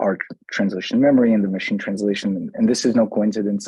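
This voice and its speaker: A man with a Brazilian accent speaks at a fairly low pitch in a dark, mellow tone, his intonation monotone and flat, and the sound dry and close with no echo. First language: Brazilian Portuguese. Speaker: tech company CEO presenting a software demo. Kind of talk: software demo presentation. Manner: many fillers and restarts.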